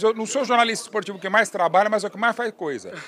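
Over noticeable background noise, a man with a high voice speaks with ordinary pitch variation. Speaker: sports journalist. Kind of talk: tribute speech; casual chat.

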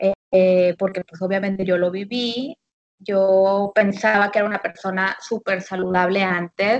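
The recording has a dry, close sound with no echo, and it's an unremarkable speaking voice of a woman at medium pitch with fairly even intonation. She goes at a fairly slow pace, with big swings in loudness. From Monterrey, Nuevo León, Mexico. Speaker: habits coach. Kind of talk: casual chat. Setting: phone call.

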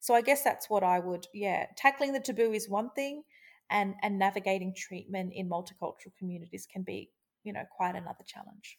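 Speaking with an Australian accent, a woman uses a medium pitch and ordinary pitch variation at a fairly quick pace. Her loudness swings widely over a very clean recording with a silent background. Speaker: journalist. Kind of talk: interview. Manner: halting.

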